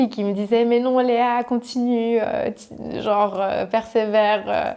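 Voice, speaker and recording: A woman talks with a fairly high pitch and fairly even intonation. Noticeable background noise runs behind her. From French-speaking Switzerland, Riviera (Vevey–Montreux). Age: 20s. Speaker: e-commerce entrepreneur. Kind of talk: interview. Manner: hesitant, many fillers.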